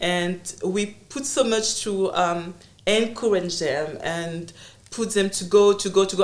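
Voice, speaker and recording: This woman has a medium pitch and ordinary pitch variation, with a French accent. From Congo. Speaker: entrepreneur and consultant. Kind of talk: interview conversation. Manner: halting.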